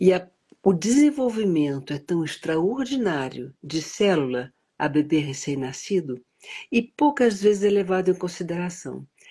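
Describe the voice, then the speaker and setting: A woman's dark, mellow, somewhat breathy voice sits at a fairly low pitch and makes very wide pitch swings at a fairly slow pace. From United States, educated in Europe. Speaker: prenatal education advocate. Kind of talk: interview. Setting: live stream.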